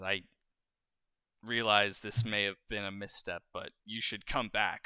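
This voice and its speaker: Using a put-on character voice, a man speaks in a stern tone at a fairly low pitch. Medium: actual play. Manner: stern, measured.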